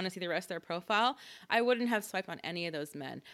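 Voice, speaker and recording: A woman's very fast, animated voice, bright and sharp in tone, with very wide pitch swings, dry and close with no echo, in a very clean recording with a silent background. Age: 30s. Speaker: podcast co-host. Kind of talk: casual chat. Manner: animated, laughing often.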